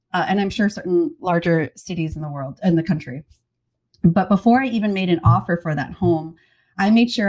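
A woman with an American accent has a plain, everyday voice, fairly low in pitch with ordinary pitch variation. She talks at a moderate pace on a very clean recording with a silent background. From US Appalachia. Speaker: cookbook author and homesteader. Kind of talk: casual interview chat.

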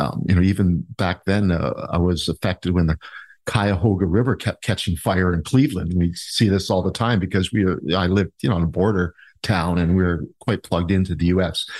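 Over a quiet background, a man with a very deep, low pitch speaks at a fairly quick pace, his pitch varying in an ordinary way and his loudness very even, in a dry, close sound with no echo. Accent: Canadian. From Ontario, Canada (Niagara Falls). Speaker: mayoral candidate. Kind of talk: interview.

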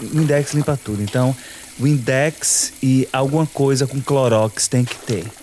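A man's medium-pitched voice at a fairly slow pace, fairly even in intonation, over noticeable background noise. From Salvador, Bahia, Brazil. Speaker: house cleaner. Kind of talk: personal interview narrative.

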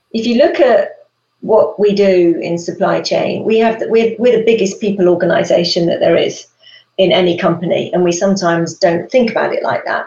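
Someone with a British accent speaks at a fairly quick pace with lively intonation. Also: woman, medium pitch for a woman. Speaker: supply chain executive. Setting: live stream.

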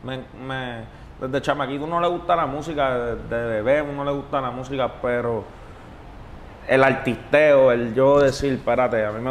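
A man speaks at medium pitch and a moderate pace with fairly even intonation, over noticeable background noise. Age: 20s. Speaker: reggaeton artist. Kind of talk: interview. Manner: laid-back.

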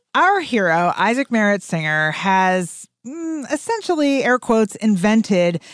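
This woman's voice is captured dry and close, with no echo at all. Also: very clean recording, silent background. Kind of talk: casual storytelling chat. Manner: animated, conversational.

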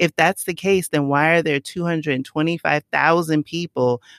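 The speaker has a New York accent. The recording is very clean, with a silent background. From New York City, the Bronx. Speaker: digital marketing expert and travel platform creator. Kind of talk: podcast interview.

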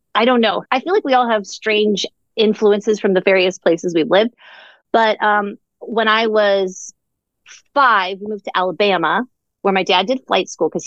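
A woman talks in a normal speaking voice with an American accent and medium pitch. Her pace is moderate and her pitch variation ordinary. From Orlando, Florida. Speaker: comedic writer and performer. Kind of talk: casual interview chat.

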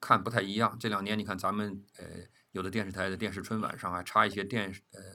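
A man with a fairly low pitch talks at a very fast pace in a bright, sharp tone, his intonation monotone and flat. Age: 60s. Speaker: veteran television producer. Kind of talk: casual interview. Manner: halting, with frequent fillers.

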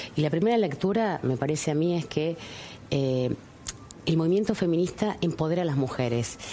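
A woman with a normal speaking voice, fairly low pitch, lively intonation, very even loudness and a moderate pace. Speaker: politician. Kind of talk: interview.

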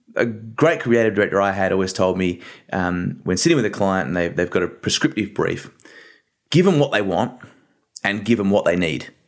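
A man with an Australian accent speaks at a fairly low pitch. His intonation is lively. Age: 30s. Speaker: creative agency co-founder. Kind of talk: interview.

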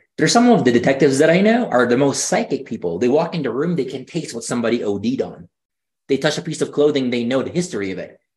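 This man's voice sits at a fairly high pitch and is somewhat breathy. He talks at a very fast pace with very wide pitch swings. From Philippines. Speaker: energy healer. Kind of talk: casual chat.

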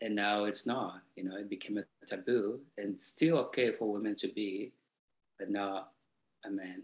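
A man talks at a moderate pace with fairly low pitch and a slightly husky edge. His intonation stays fairly even.

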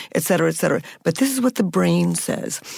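Speaking at a fairly quick pace, a woman with a fairly low voice and vocal fry is heard in a very clean recording with a silent background. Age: 60s. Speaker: anthropologist and dating researcher. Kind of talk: interview.

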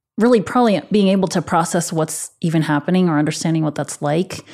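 A woman speaks in a normal speaking voice at a fairly low pitch. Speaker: therapist. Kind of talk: therapy session conversation.

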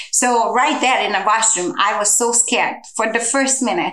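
A woman's fairly high voice with a Hungarian accent, at a moderate pace, over noticeable background noise. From Hungary. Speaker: human trafficking survivor and advocate. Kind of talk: personal testimony in interview.

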